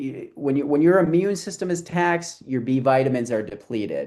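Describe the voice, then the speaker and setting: Over a quiet background, a man with an American accent and a normal speaking voice talks at a fairly quick pace, pitched fairly high with ordinary pitch variation. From US Midwest. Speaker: chiropractor and health educator. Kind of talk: health talk on a live group call. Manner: casual, conversational.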